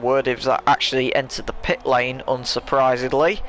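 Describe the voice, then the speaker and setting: Against noticeable background noise, a man with an English accent speaks at a medium pitch and a moderate pace. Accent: very English. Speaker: sim racing commentator. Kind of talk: live commentary.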